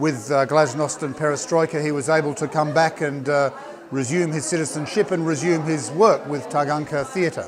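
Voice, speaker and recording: A man with an Australian accent speaks at a fairly high pitch with fairly even intonation. Noticeable background noise can be heard. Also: moderate pace. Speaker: politician. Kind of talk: interview. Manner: hesitant, many fillers.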